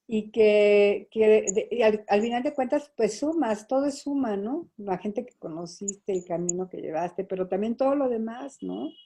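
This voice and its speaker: Speaking at a fairly slow pace, a woman with an unremarkable speaking voice uses lively intonation and a fairly high pitch, her loudness swinging widely. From Mexico City and Toluca. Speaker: photojournalist. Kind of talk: interview.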